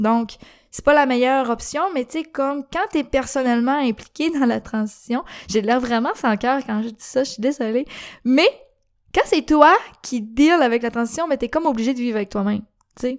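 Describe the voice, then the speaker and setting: With a Quebec accent, the speaker shows ordinary pitch variation in a very clean recording with a silent background. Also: woman, high pitch for a woman, moderate pace. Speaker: podcast host. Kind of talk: casual monologue.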